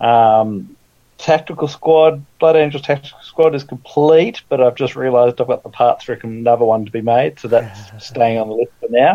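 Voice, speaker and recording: A man with an Australian accent, dark and mellow in tone, with big swings in loudness and ordinary pitch variation. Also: medium pitch for a man, moderate pace. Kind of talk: casual chat.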